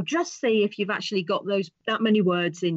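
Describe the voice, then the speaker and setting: Speaking with a British accent, a woman keeps a moderate pace and ordinary pitch variation. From England. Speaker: author. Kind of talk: interview answer.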